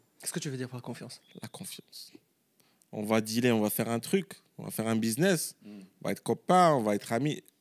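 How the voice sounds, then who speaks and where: At a fairly quick pace, a man talks in an ordinary speaking voice of medium pitch with lively intonation. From Morocco. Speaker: entrepreneur. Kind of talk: casual chat.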